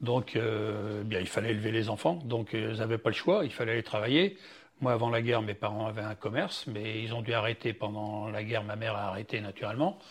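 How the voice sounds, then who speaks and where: Fairly quick, somewhat breathy man with fairly even intonation. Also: medium pitch for a man. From western France, Loire-Atlantique (Châteaubriant). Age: 70s. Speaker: retired foundry worker, grandfather. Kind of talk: life-story interview. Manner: halting.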